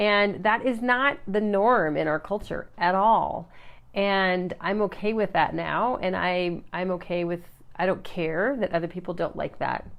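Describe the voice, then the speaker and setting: A woman speaks at a fairly slow pace. Her pitch is medium, with ordinary pitch variation. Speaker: life coach / motivational live streamer. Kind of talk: live stream talk to viewers. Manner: quiet, not naturally loud; halting, many fillers.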